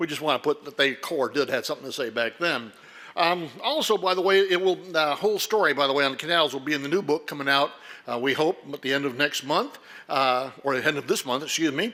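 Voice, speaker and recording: A loud man with a bright, sharp tone, fairly high pitch, ordinary pitch variation and a very fast pace. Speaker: historian and lecturer. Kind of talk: lecture. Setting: stage with audience, lights.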